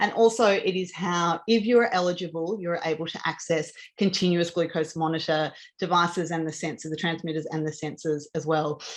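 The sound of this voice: A woman speaks at a low pitch with little pitch movement. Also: moderate pace.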